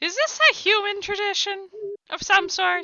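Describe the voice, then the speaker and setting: Using a put-on character voice, a woman talks at a moderate pace in a squeaky, extremely high pitch. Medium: actual play. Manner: sardonic, prim.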